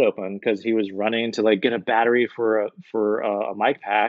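A man speaks at a moderate pace in an ordinary speaking voice. His pitch is medium. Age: 40s. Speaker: film content creator and film crew worker. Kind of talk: casual chat.

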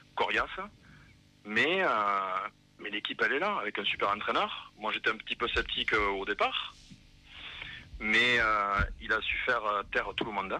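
A man with a Toulouse accent talks at a moderate pace, with long, frequent pauses. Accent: southern French (Toulouse). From Toulouse, France. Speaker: football supporter. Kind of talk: casual radio interview. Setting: phone call.

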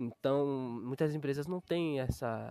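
The recording is dry and close with no echo, capturing a man at medium pitch with ordinary pitch variation. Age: 20s. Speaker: graphic designer. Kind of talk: casual monologue. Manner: halting.

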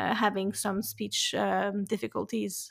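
A woman with a French accent, fairly high pitch and moderate pace on a very clean recording with a silent background. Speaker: podcast host. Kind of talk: interview.

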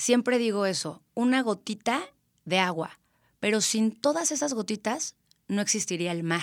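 Over a silent background in a very clean recording, a woman in a central Mexican accent speaks with a fairly high pitch and lively intonation. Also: fairly slow pace. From Mexico, Querétaro. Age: 30s. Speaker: event planner. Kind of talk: interview.

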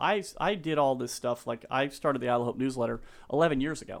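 Speaking at a fairly quick pace, a man with an American accent uses ordinary pitch variation. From Colorado. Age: 50s. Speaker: real estate agent. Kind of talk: casual chat. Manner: animated.

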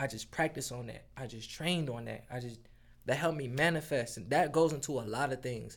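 Vocal fry runs through this voice with an American accent, which shows ordinary pitch variation and big swings in loudness. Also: man, medium pitch for a man, fairly quick pace. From Detroit area, Michigan. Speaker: recording artist. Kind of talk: casual chat.

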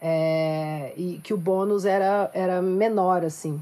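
Her pitch medium and its variation ordinary, a woman talks in an unremarkable speaking voice. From Minas Gerais countryside, Brazil. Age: 20s. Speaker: singer-songwriter and activist. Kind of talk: panel discussion.

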